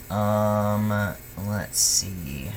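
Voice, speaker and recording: Noticeable background noise and audible room echo. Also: man. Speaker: video blogger. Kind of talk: casual vlog update. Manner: monotone; halting, many fillers.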